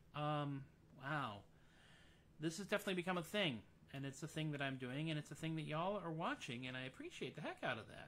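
A man speaks in a bright, sharp tone with ordinary pitch variation. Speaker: musician hosting a live stream. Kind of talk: casual live-stream chat. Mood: jovial, self-deprecating. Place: home room. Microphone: studio mic.

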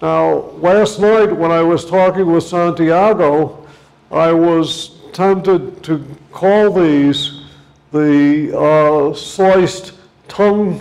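A man's high-pitched voice at a very slow pace, with fairly even intonation. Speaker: visiting lecturer. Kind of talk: lecture. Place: classroom. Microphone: lapel.

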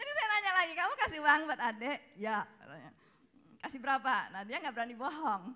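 Against a quiet background, a woman with a high voice and a bright, sharp tone speaks in a raised, projected voice at a fairly quick pace, with very wide pitch swings and big swings in loudness. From Indonesia. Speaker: speaker's wife, co-presenter; speaker, presenter. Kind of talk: testimony. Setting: stage with audience. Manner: casual, laughing. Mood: cheerful, laughing often. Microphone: handheld.

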